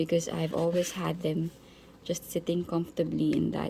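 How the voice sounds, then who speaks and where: A woman with a non-native accent talks at a moderate pace. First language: not English. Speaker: planner reviewer. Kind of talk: product comparison tutorial. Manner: halting, many fillers; casual.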